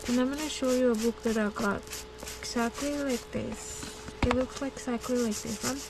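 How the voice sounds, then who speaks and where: A woman at a moderate pace, with noticeable background noise behind her. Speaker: craft YouTuber. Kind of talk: casual vlog talk.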